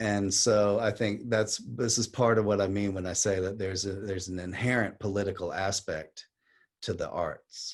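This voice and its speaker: A man's plain, everyday voice, fairly low-pitched, at a moderate pace over a quiet background. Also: fairly even intonation. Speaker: poet and activist. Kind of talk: talk on poetry and activism.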